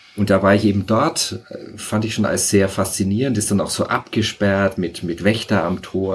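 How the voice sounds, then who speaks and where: An unremarkable speaking voice from a man, pitched fairly low and paced moderately. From Franconia, Bavaria (rural). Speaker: sociologist and author. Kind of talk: casual interview.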